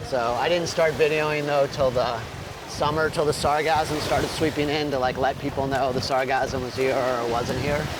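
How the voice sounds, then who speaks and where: With audible room echo and noticeable background noise, the speaker talks at a moderate pace in a monotone, flat intonation. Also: man, fairly high pitch for a man. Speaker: travel vlogger. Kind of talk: casual chat. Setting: outdoors.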